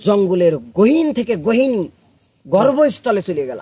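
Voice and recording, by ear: At a fairly slow pace, a man with a high pitch makes big pitch swings, his dark, mellow tone carrying a slightly husky edge.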